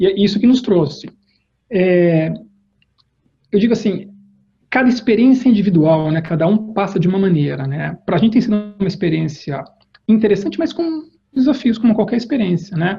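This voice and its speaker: Speaking at a moderate pace, a man with a high pitch and a dark, mellow tone uses lively intonation. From Brazil, Campinas (São Paulo state). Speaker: corporate executive. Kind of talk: interview. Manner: halting, many fillers and repetitions.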